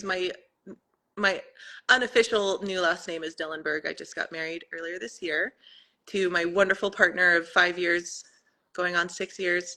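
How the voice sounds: A woman's fairly low-pitched voice, bright and sharp in tone, at a moderate pace with fairly even intonation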